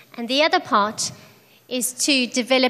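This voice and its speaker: Amid noticeable background noise, a woman speaks at a high pitch and a very slow pace. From South Africa. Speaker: charity program director. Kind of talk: sermon with interpreter. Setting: church.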